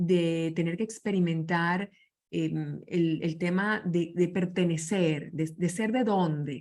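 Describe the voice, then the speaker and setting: A woman's fairly low voice at a very slow pace, with very even loudness and fairly even intonation. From Venezuela. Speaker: leadership speaker. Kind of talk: interview conversation.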